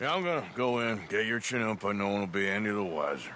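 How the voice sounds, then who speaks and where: A man's very fast, raspy put-on character voice, fairly low in pitch, over clear background noise. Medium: video game. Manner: laconic, dry.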